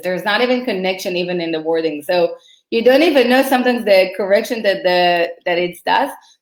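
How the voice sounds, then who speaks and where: A woman speaks with an Israeli accent and lively intonation. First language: Hebrew. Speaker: marketing consultant. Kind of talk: casual chat.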